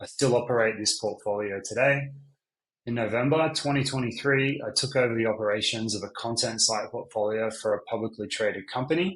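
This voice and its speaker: This man, with an Australian accent, talks at a fairly quick pace in a medium pitch with ordinary pitch variation. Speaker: business owner. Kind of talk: sales pitch.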